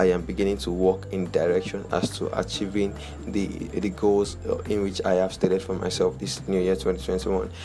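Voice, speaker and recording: Over noticeable background noise, a man talks at a fairly quick pace. His pitch is very deep and low, with ordinary variation. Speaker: podcast host. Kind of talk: motivational talk. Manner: encouraging, upbeat.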